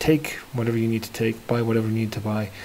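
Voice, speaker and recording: This man talks at a very fast pace with a medium pitch. His voice is somewhat breathy. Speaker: lightsaber builder. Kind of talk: casual talk to camera.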